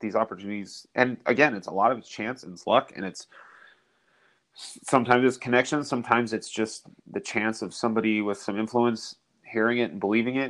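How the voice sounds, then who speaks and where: An American accent from a man at medium pitch, an ordinary speaking voice with ordinary pitch variation, a fairly quick pace and big swings in loudness, over a quiet background. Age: 30s. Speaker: musician, drummer. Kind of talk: casual chat.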